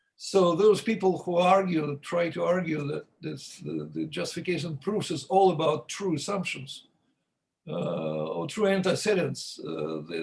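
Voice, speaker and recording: A man talks at a moderate pace. He has a non-native accent. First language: not English. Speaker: logician. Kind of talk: academic discussion. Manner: halting.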